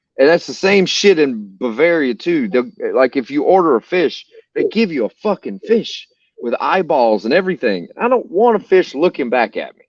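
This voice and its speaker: With a Southern US accent, a high-pitched man swings his pitch very widely at a moderate pace in a dry, close sound with no echo. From US South, North Carolina. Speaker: podcast host. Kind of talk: casual chat. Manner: animated.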